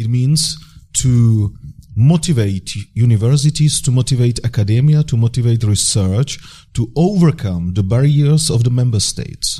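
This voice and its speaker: The somewhat breathy voice has a dark, mellow tone, ordinary pitch variation and a moderate pace. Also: man, medium pitch for a man. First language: Czech. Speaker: deputy government minister. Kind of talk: panel discussion. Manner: halting.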